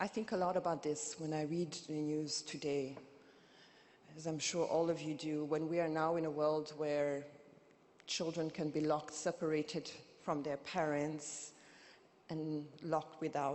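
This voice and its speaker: Very deep and low-pitched, a woman with a Burundian accent speaks in a monotone, flat way with long, frequent pauses. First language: Kirundi. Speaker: activist and poet, keynote speaker. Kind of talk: keynote speech. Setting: conference stage with audience. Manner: impassioned.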